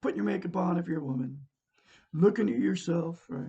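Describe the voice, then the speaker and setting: This man talks at a fairly quick pace with an American accent, his high pitch making very wide swings. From Oregon, US. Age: 60s. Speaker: self-help teacher. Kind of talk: live stream talk. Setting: live video stream.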